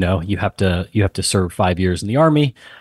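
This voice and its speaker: A man with an American accent speaks at a fairly low pitch in a plain, everyday voice. The background is quiet. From Texas, San Antonio. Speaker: tech company founder and CEO, army veteran. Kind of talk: casual interview chat.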